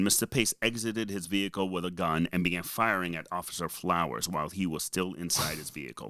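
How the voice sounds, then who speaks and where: A man with a very deep, low pitch talks at a fairly quick pace in a strong Boston accent. His tone is bright and sharp, with ordinary pitch variation, and the recording is very clean with a silent background. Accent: heavy Boston. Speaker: podcast co-host. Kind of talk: casual, conversational, reading a news synopsis aloud.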